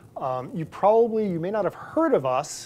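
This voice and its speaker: A man's lively intonation at a fairly quick pace. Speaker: invited lecturer. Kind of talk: lecture. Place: hall. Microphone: lapel.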